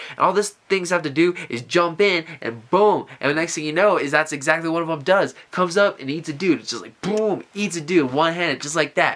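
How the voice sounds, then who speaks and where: This man's high-pitched voice moves at a fairly quick pace with hardly any pauses, an animated tone, ordinary pitch variation and big swings in loudness. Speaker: vlogger. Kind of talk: casual monologue. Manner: fast.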